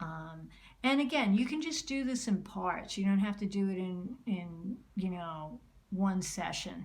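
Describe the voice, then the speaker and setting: Somewhat breathy and medium in pitch, a woman speaks at a fairly slow pace with audible room echo. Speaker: art teacher. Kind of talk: tutorial. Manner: slows down and gets calmer while drawing; hesitant, many fillers.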